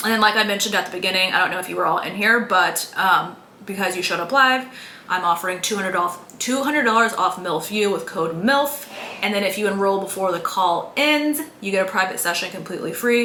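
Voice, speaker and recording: Very rapid, animated delivery amid noticeable background noise and audible room echo. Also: woman. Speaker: mom coach running online healing course. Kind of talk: live-stream workshop with sales pitch. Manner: fast.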